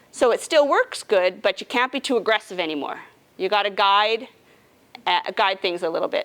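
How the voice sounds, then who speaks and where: A woman's lively, medium-pitched delivery at a moderate pace, in an ordinary speaking voice. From Canadian prairies, Regina, Saskatchewan. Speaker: nurse navigator. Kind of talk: educational presentation to a support group. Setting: support group meeting with live audience. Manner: casual, conversational.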